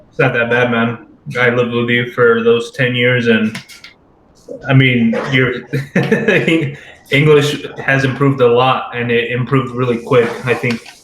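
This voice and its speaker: Against noticeable background noise, a man with an American accent speaks in a monotone, flat way at a medium pitch and fairly slow pace, with long, frequent pauses. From Southern California, Redlands. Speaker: podcast co-host, soldier. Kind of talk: casual chat.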